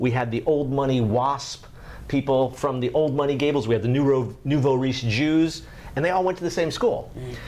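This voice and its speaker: Noticeable background noise sits behind an American accent. The pace is moderate and the pitch variation ordinary. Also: man, medium pitch for a man. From US South, Miami, Florida. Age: 50s. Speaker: writer and former editor. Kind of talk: casual interview.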